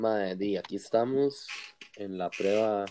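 A man's fairly low, dark, mellow voice at a fairly slow pace, with fairly even intonation, a dry, close sound with no echo and a quiet background. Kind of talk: casual chat. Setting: call recorded on iPad. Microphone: iPad mic, sounds far away.

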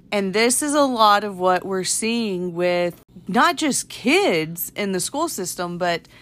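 A woman speaks in a medium pitch with an animated tone. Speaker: podcast co-host, mother. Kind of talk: casual chat. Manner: animated, laughs often.

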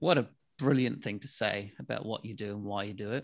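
A man with a New Zealand accent talks at a fairly slow pace with a fairly low pitch and ordinary pitch variation, in a very clean recording over a silent background. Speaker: podcast host. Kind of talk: casual chat.

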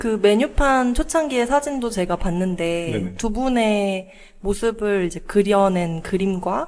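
Lively intonation marks this woman's speech. She talks at a medium pitch and a very slow pace. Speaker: podcast co-host. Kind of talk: interview podcast conversation.

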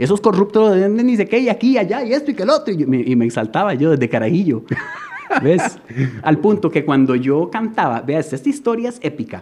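Over noticeable background noise, a man talks at a fairly quick pace in a high pitch, his voice making very wide pitch swings. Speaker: surfer and artist. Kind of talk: casual chat.

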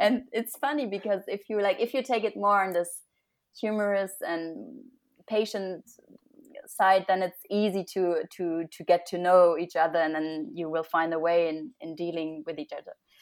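A woman speaks in a German accent at a moderate pace. Her pitch variation is ordinary. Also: medium pitch for a woman, very clean recording, silent background. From Germany. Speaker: graduate student. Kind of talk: casual interview.

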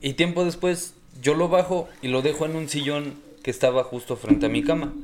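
Background noise is noticeable. The speech moves at a moderate pace. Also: man. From Hidalgo, Mexico. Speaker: podcast guest telling ghost stories. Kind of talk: casual chat.

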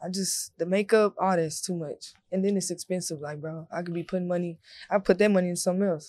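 A woman speaks at a very fast pace with an American accent and a dark, mellow tone. Her intonation is monotone and flat. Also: medium pitch for a woman. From Texas, Corsicana. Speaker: artist manager and model. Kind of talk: casual chat. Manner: forceful, aggressive-sounding.

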